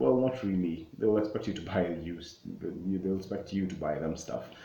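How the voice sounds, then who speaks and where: Talking at a fairly quick pace, a man with a very deep, low pitch is heard with audible room echo. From Kenya. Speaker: travel vlogger. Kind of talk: casual explainer vlog. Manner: halting, many fillers and self-corrections.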